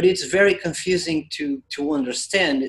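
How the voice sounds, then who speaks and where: In a Portuguese accent, a man speaks at a fairly slow pace and a fairly high pitch. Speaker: spiritual channeler. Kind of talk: group discussion Q&A. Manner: hesitant, repetitive.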